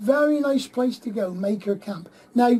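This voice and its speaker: Someone with a West Country accent speaks fairly slowly over noticeable background noise. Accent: West Country, people mistake it for Cornish. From Plymouth, southwest England. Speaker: radio host. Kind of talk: casual radio chat.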